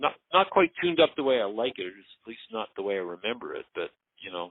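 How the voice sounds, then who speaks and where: At a very fast pace, a man with a Canadian accent speaks at a medium pitch, with very wide pitch swings and big swings in loudness. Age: 60s. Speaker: surfer and board builder. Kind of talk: casual interview chat. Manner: halting, many repeated words.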